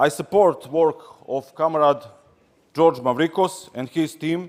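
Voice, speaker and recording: This man has a Serbian accent and a fairly high pitch. His pace is fairly slow and his intonation fairly even. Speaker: trade union delegate. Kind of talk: congress speech.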